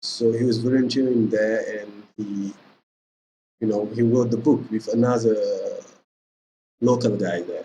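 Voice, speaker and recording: A man speaks in a dark, mellow, somewhat breathy voice with flat, monotone intonation and long, frequent pauses. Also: medium pitch for a man, fairly slow pace. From Senegal. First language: Pulaar (Fula). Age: 20s. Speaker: language teacher. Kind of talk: tutorial. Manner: casual, filler-heavy (okay, you know).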